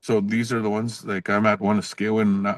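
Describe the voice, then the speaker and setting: With a Canadian accent, a man talks at a fairly quick pace and a fairly low pitch, the sound dry and close with no echo over a quiet background. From northern Saskatchewan, Canada (Cree First Nation). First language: Cree. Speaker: professor. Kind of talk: podcast interview. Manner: casual, with frequent fillers and restarts.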